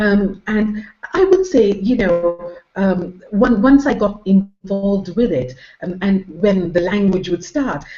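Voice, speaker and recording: A woman speaks at a very slow pace in a somewhat breathy, medium-pitched voice with ordinary pitch variation. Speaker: internet marketer. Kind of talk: interview answer.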